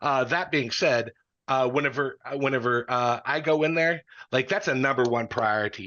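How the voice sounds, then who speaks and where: A man speaks at a fairly quick pace in a passionate tone, his medium pitch moving with ordinary variation. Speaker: congressional candidate; Marine Corps veteran. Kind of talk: candidate forum answers. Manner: halting, many fillers and restarts; direct, passionate.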